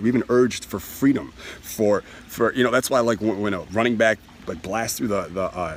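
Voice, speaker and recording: Amid noticeable background noise, a man with a medium pitch speaks at a fairly quick pace in an animated tone. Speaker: self-help speaker. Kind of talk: motivational talk. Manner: fast.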